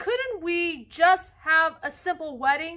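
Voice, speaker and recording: In a put-on character voice pitched extremely high, a woman speaks at a fairly slow pace with lively intonation. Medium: read story. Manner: polite, gentle.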